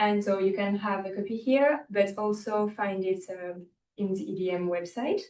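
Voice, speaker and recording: A woman with a French accent speaks at a medium pitch and a moderate pace. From France. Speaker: student trainee presenter. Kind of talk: briefing presentation.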